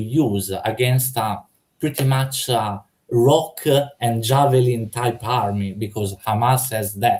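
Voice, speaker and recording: Somewhat breathy, a man with a non-native accent speaks at a very slow pace. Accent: foreign. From Italy. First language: Italian. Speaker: debater. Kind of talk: heated debate. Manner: halting, many fillers.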